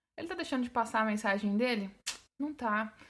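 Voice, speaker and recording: The recording is very clean, with a silent background. A woman speaks at a fairly quick pace and a fairly high pitch. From Brazil, São Paulo and Sergipe. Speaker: English teacher and podcaster. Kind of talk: podcast monologue. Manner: casual, conversational.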